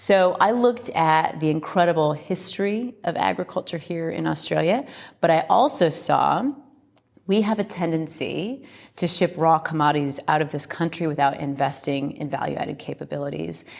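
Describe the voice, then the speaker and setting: A woman speaks with an American accent at a fairly low pitch, with vocal fry. Her intonation is lively and her pace moderate. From US Midwest, Iowa. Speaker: company co-founder. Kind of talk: interview.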